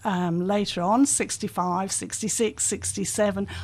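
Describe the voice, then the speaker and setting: A woman, somewhat breathy, against a quiet background. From England, near Liverpool. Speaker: community volunteer. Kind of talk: radio interview. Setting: radio studio.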